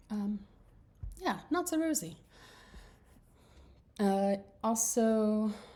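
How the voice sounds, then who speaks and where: In a Southern US accent, a woman with a fairly high pitch speaks at a very slow pace, taking long, frequent pauses, her somewhat breathy voice carrying a dark, mellow tone and very wide pitch swings. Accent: Southern US, slips out at times. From US South, small rural town. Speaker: course instructor. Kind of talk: casual video message to students. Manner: expressive; halting, many restarts and fillers.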